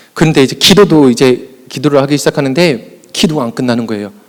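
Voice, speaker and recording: A man rushes through his words at a very fast pace against noticeable background noise. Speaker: youth pastor. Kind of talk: conference presentation. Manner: animated.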